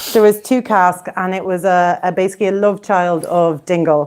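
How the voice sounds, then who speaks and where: A woman speaks with an Irish accent at a moderate pace. Noticeable background noise is present. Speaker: whiskey society president. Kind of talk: whiskey tasting presentation. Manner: hesitant, many fillers.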